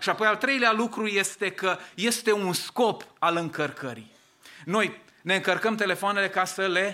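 A man's raised, projected voice, bright and sharp in tone, at a fairly slow pace. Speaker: pastor. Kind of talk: sermon. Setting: church.

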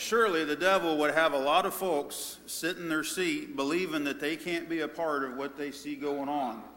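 Over noticeable background noise, a man with a fairly high voice talks at a moderate pace. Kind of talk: sermon. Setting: church.

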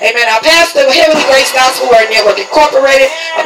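A man's raised, projected voice with a warm tone, a Southern US accent and fairly even intonation, amid noticeable background noise. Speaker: church host introducing speaker and closing the service. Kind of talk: church service MC, call-and-response prayer and announcements. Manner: warm, repetitive with frequent 'Amen'.

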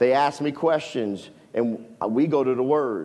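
Against a quiet background, a man with a fairly high pitch speaks in an animated tone with ordinary pitch variation. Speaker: preacher. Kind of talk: sermon. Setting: church. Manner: animated, fervent preaching with call-and-response.

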